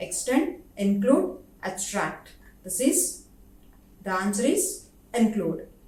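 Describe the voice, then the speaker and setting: A woman with an Indian accent speaks very slowly at a fairly high pitch, her voice swinging very widely in pitch amid audible room echo. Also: long, frequent pauses. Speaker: professor. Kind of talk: lecture.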